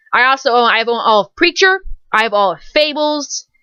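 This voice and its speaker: An American accent marks this woman's bright, sharp voice. She talks at a fairly quick pace, and the sound is dry and close with no echo. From California. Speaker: fandom blogger. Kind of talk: casual vlog monologue. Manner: fast; animated.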